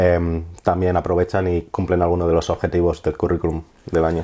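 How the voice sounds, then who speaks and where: Speaking in a Madrid accent at a fairly quick pace, the man has a very deep, low pitch and a dark, mellow tone. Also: quiet background. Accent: Castilian Spanish (Madrid). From Spain. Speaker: marine conservationist, project manager. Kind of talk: interview answer.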